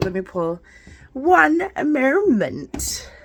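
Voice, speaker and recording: A woman's voice with very wide pitch swings. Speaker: spiritual card reader. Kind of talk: casual spiritual reading vlog. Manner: casual, halting.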